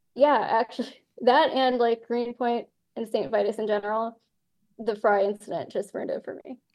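Her voice is an unremarkable speaking voice, fairly high for a woman, with ordinary pitch variation. She speaks at a moderate pace with big swings in loudness. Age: 30s. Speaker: music label owner. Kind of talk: casual chat.

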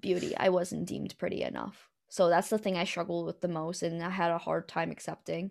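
A woman with an American accent talks at a fairly quick pace with hardly any pauses, on a very clean recording with a silent background. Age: 20s. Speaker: podcast guest. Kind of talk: casual chat.

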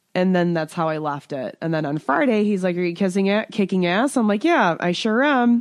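This woman has a normal speaking voice at a medium pitch, with lively intonation. She speaks at a moderate pace against a quiet background. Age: 30s. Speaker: podcast co-host. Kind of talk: casual chat.

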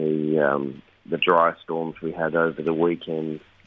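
In an Australian accent, a man speaks with a very deep, low pitch and monotone, flat intonation. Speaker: regular radio contributor, shopkeeper. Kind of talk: casual chat. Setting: phone call from Sydney.

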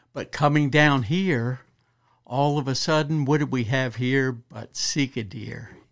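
A man with an American accent talks at a fairly slow pace, using a medium pitch and ordinary pitch variation. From Western Maryland, US. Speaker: wildlife biologist. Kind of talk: casual interview. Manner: halting.

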